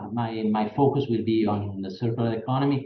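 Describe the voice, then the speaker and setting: In a room with audible echo, a man speaks at a medium pitch and a moderate pace. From Italy. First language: Italian. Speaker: professor. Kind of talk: lecture. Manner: halting.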